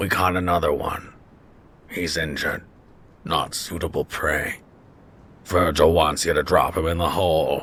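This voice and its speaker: A man's put-on character voice, raspy and very deep, with long, frequent pauses. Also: moderate pace. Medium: read story. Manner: blunt, casual about cruelty.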